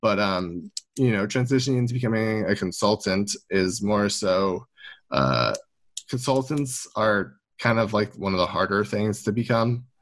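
A man's plain, everyday voice, fairly low in pitch, with ordinary pitch variation, very even loudness and a fairly slow pace. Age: 20s. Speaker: esports consultant. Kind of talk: interview.

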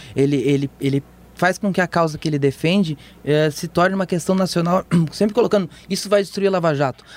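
The recording is dry and close, with no echo. A man with a high pitch talks at a very fast pace, with ordinary pitch variation. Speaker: political journalist and podcast host. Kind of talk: casual chat. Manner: halting, many repetitions.

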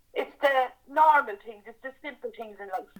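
A woman talks in an Irish accent. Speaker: campaigning mother. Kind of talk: testimony.

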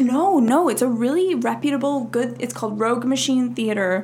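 In an American accent, a woman talks in a fairly high pitch, with noticeable background noise and audible room echo. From Minnesota. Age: 20s. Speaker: actor. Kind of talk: casual chat.

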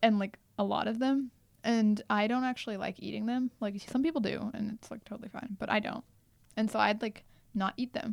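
A woman speaks fairly quickly with a General American accent in a plain, everyday voice, fairly high in pitch with fairly even intonation. The recording is very clean with a silent background and a dry, close sound with no echo. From US, Indian heritage. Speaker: podcast co-host, university student. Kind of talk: casual chat.

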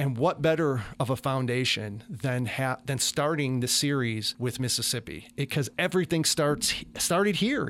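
At a moderate pace, a man with an American accent and an unremarkable speaking voice talks with lively intonation on a very clean recording with a silent background. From Chicago, US. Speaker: musician and TV producer. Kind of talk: radio interview. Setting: studio.

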